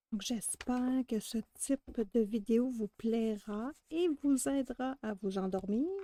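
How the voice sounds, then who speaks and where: Very slow in pace, a woman speaks with a fairly high pitch, a dark, mellow tone and ordinary pitch variation, in a dry, close sound with no echo. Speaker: adult colouring artist. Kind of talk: ASMR colouring video. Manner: whispered.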